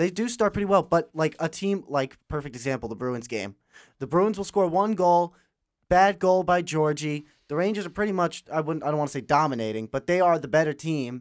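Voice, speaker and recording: A man with an ordinary speaking voice talks at a fairly quick pace and fairly high pitch with lively intonation on a very clean recording with a silent background. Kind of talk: casual fan podcast banter. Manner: chatty, stumbling, overlapping.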